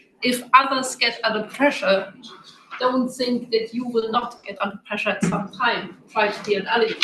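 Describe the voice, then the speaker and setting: A woman talks at a moderate pace with a fairly high pitch and fairly even intonation. Noticeable background noise sits behind her. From Germany. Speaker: audience member. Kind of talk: audience question. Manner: halting.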